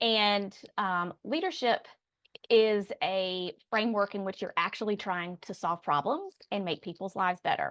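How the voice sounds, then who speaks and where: A woman with a Southern US accent speaks at a medium pitch and a fairly slow pace, with ordinary pitch variation and a quiet background. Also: dry, close sound with no echo. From Raleigh, North Carolina. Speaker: public affairs consultant, former chief of staff. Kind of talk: interview answer.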